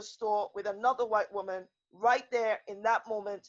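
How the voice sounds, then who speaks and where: Her voice is quiet and fairly high. This woman speaks with a passionate tone. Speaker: lawyer and women's rights activist. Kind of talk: panel discussion. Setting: video call. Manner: passionate, emphatic; loud, never quiet.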